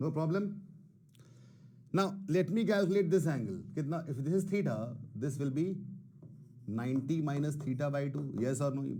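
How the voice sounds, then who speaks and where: With audible room echo, a man speaks in a dark, mellow, somewhat breathy voice, leaving long, frequent pauses. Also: fairly high pitch for a man, ordinary pitch variation. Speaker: math teacher. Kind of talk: online class lecture. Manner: Hindi-English code-switching; moderate pace, self-described not fast.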